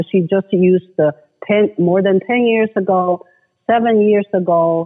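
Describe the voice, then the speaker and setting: The speaker has a Chinese accent and ordinary pitch variation. The pace is very slow. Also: woman. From China. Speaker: human rights advocate. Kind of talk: interview. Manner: halting.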